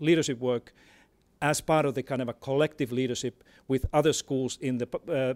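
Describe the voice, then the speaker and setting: In a very clean recording with a silent background, a man with a Finnish accent speaks at medium pitch with fairly even intonation. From Finland. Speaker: education expert. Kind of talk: panel talk. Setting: stage with audience. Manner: halting, many repetitions.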